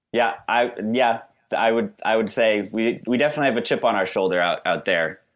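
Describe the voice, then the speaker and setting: Against a quiet background, a man with a normal speaking voice talks at a fairly quick pace and medium pitch, with ordinary pitch variation. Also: very even loudness. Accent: American. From Western Massachusetts (West Stockbridge, Berkshires). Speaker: litigant in comedic dispute. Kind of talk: casual chat.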